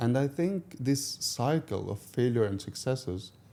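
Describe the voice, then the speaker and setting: The man's tone is dark and mellow. He speaks at a fairly slow pace. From Morocco, Tangier. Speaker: marketing director. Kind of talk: interview. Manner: halting.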